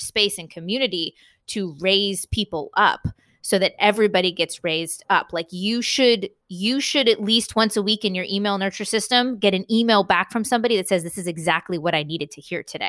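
Against a quiet background, a woman with a Californian accent speaks at a medium pitch in a bright, sharp tone with ordinary pitch variation. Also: dry, close sound with no echo. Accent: General American (Californian). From US West Coast, San Diego, California. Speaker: entrepreneur, author and podcaster. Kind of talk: interview conversation.

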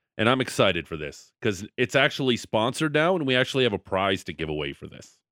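Talking very fast with hardly any pauses, a man in a medium pitch uses an animated tone and very wide pitch swings. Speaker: radio sports host. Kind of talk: casual sports talk radio banter. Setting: radio studio. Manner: joking, animated banter.

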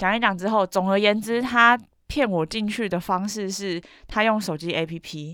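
With a Taiwanese accent, a woman speaks at a moderate pace and medium pitch, with ordinary pitch variation. The recording is very clean, its background silent. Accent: Taiwanese Mandarin. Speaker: podcast co-host. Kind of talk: casual chat.

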